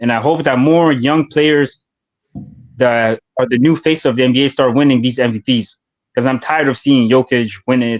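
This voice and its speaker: A man with a French accent, fairly high in pitch, ordinary pitch variation, in a dry, close sound with no echo. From Canada, Hamilton, Ontario. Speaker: caller. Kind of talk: casual chat. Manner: animated.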